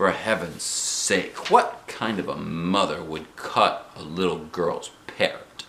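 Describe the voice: Using a put-on character voice, a man speaks low and slow, with ordinary pitch variation. His tone is fairly bright, and audible room echo can be heard.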